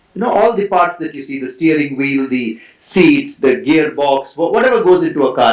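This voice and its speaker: A man with an Indian accent speaks at a moderate pace in a fairly high voice. His intonation is lively. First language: Konkani. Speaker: author and former brand executive. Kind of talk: festival talk to audience. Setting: stage with audience.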